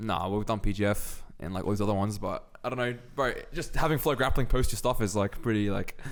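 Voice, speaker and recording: A man's fairly low voice with an Australian accent, delivered at a very fast pace. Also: ordinary pitch variation. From Australia (Sydney). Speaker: grappler. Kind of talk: casual chat.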